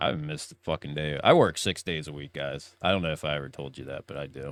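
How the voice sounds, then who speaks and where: A man's very deep, low voice with vocal fry, at a very fast pace, flat and monotone in intonation, with big swings in loudness. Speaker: podcast co-host. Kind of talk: casual live show chat.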